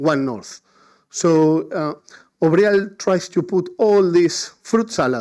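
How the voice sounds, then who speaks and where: In a very clean recording with a silent background, a man speaks at a fairly slow pace with a high pitch. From Argentina. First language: Spanish. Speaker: higher education network leader, conference speaker. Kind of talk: conference keynote presentation. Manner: halting.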